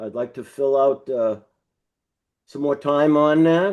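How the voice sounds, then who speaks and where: Dark and mellow in tone, a man's voice sits at a fairly high pitch with ordinary pitch variation. He speaks at a fairly slow pace. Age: 80s+. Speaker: town commission member seeking reappointment. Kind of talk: public meeting interview. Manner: halting, many fillers.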